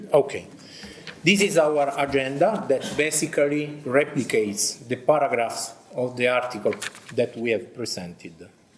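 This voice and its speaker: A man with an Italian accent, fairly high pitch and lively intonation at a moderate pace, with audible room echo and noticeable background noise. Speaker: army officer and military history teacher. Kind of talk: conference presentation.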